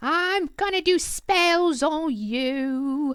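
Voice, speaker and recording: A woman's cackling, put-on character voice, extremely high in pitch. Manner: cackling, threatening.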